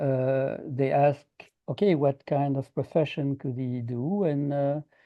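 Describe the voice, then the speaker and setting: This is a man speaking at a fairly high pitch. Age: 60s. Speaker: architect and presenter. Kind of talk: presentation. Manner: halting, many fillers.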